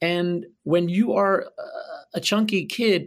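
A man with an American accent, high in pitch and lively in intonation, on a very clean recording with a silent background. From Philadelphia. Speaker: Broadway actor and singer. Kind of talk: casual interview. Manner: animated.

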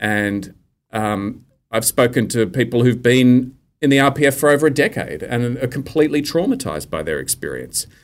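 In an Australian accent, a man of medium pitch talks at a moderate pace with ordinary pitch variation on a very clean recording with a silent background. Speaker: journalist and author. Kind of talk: casual interview chat.

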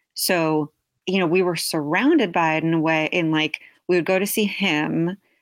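With an American accent, a woman speaks in a plain, everyday voice at a moderate pace, her fairly low pitch and fairly even intonation captured in a dry, close sound with no echo. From New York and New Jersey. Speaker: public health worker. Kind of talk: casual chat.

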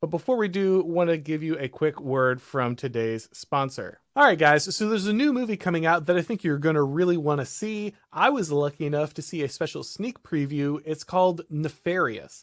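In a plain, everyday voice, the speaker uses lively intonation at a moderate pace with hardly any pauses, on a very clean recording with a silent background. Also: man, fairly high pitch for a man. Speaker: podcast host. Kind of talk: casual discussion. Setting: live stream.

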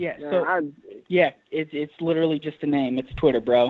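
This is a man with an ordinary speaking voice, pitched fairly high. He keeps a moderate pace and fairly even intonation. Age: 20s. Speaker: podcast guest on a call.

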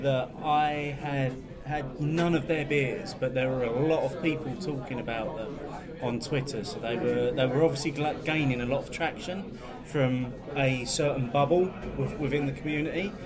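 Noticeable background noise fills the recording. A man talks over it at a moderate pace. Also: fairly high pitch for a man, ordinary pitch variation. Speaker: podcast host. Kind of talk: casual chat.

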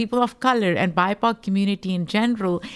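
The speaker has a Pakistani accent and ordinary pitch variation. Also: woman. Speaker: podcaster and rights activist. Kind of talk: interview conversation.

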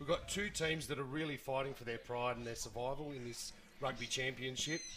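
Over noticeable background noise, a man with a medium pitch talks at a very fast pace with fairly even intonation. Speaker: sports pundit. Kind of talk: sports radio chat.

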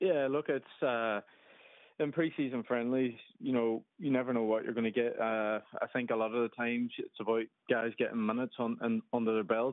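With a Derry accent, a man speaks in a medium pitch at a moderate pace. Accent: Derry Northern Irish. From Derry, Northern Ireland. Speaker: professional footballer. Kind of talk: radio interview.

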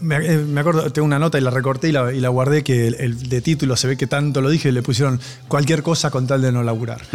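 Over music in the background, a man with a medium pitch speaks at a very fast pace with hardly any pauses, very even loudness and fairly even intonation. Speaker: rock musician. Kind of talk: casual chat. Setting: studio.

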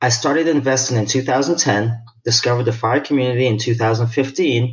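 A man's medium-pitched voice is somewhat breathy, and his intonation stays fairly even. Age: 40s. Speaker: retired military, listener asking a question. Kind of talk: recorded voicemail question.

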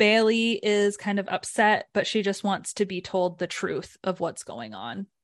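A woman at medium pitch in a normal speaking voice, fairly slow yet with hardly any pauses, the sound dry and close with no echo. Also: ordinary pitch variation. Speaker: podcast host. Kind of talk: casual chat. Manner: chatty, playful.

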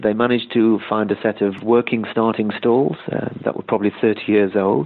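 A man speaks at a moderate pace with a British accent. His voice is fairly low, with fairly even intonation. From Britain. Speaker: journalist. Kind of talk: interview. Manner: hesitant, many fillers.

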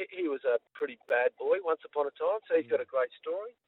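This is a man speaking with an Australian accent. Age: 60s. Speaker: sports chaplain. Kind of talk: casual interview. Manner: energetic.

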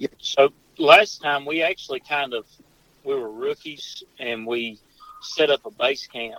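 Noticeable noise in the background under a fairly even intonation. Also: man. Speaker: hunter. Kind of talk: casual chat.

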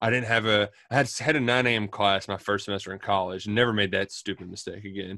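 A man at a fairly low pitch, very fast and with hardly any pauses, fairly even in intonation, in a very clean recording with a silent background. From Louisville, Kentucky. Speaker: sports radio host. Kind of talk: casual interview.

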